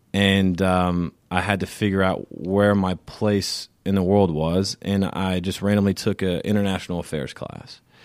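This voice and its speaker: Here a man with an American accent has a very deep, low pitch and monotone, flat intonation. He talks at a fairly slow pace with hardly any pauses. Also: very clean recording, silent background. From US South, Richmond Hill near Savannah, Georgia. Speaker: sales executive at an education company. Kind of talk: interview. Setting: studio.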